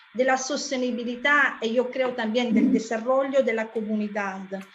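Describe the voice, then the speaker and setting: A woman with a non-native accent speaks with fairly even intonation. Audible room echo and noticeable background noise surround her. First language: not Spanish (speaking Spanish). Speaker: conference moderator. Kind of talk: conference moderation, thanks and summary. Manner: halting, many fillers.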